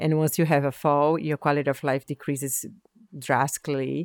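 A woman's very deep, low voice in a Portuguese accent, monotone and flat, at a moderate pace, with a dry, close sound, no echo, and a very clean recording over a silent background. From Brazil. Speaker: biotech startup founder and scientist. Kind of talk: interview.

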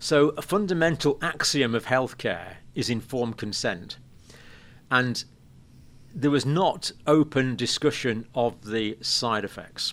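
Speaking with an English accent, a man uses a medium pitch and lively intonation. He goes at a fairly slow pace in a very clean recording with a silent background. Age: 60s. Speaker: nurse and health educator. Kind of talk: interview. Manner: halting.

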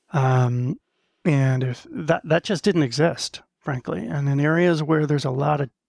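A man with an American accent speaks in an ordinary speaking voice at a fairly high pitch, a moderate pace and ordinary pitch variation. The sound is dry and close with no echo, on a very clean recording with a silent background. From US Northeast, Maine. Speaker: business executive. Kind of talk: interview.

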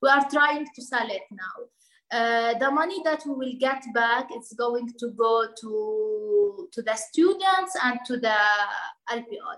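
A woman's high-pitched voice with an Arabic accent, very slow pace and lively intonation. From Lebanon, Bekaa Valley (Palestinian refugee). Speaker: NGO project manager, refugee. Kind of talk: interview. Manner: halting, with fillers and repetitions.

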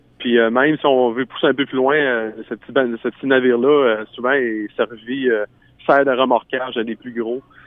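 The speech comes in a Quebec accent with monotone, flat intonation. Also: man, medium pitch for a man, moderate pace. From Quebec, Bas-Saint-Laurent. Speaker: singer-songwriter. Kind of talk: radio interview.

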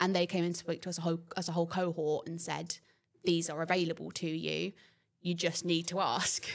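A woman speaks at a fairly quick pace with vocal fry and monotone, flat intonation. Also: fairly low pitch for a woman. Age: 20s. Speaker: nursing student. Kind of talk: casual interview.

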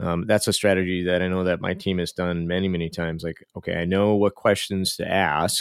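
In a very clean recording with a silent background, a man with a very deep, low pitch talks at a fairly quick pace with hardly any pauses. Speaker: podcast host. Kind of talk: casual chat. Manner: animated.

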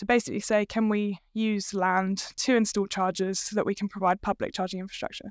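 In a very clean recording with a silent background, a woman speaks at a medium pitch with monotone, flat intonation. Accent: British. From UK. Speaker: business co-founder. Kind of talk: casual interview chat.

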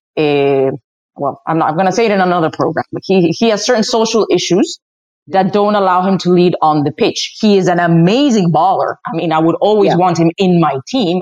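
Speaking fairly quickly with a Spanish accent, a woman sounds animated, with a medium pitch, ordinary pitch variation, and a dry, close sound with no echo. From Spain (Madrid). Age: 30s. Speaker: soccer commentator and family therapist. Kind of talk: casual chat.

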